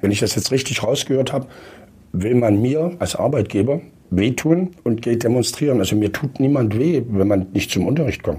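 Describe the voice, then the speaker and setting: A man speaks with a dark, mellow tone, somewhat breathy, his pitch swinging very widely. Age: 60s. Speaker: school principal and former state education minister. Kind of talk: panel discussion.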